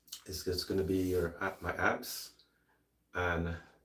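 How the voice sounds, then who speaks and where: This man's voice is somewhat breathy. His pitch sits very deep and low. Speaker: fitness trainer, former bodybuilder. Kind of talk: workout tutorial. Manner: halting, casual.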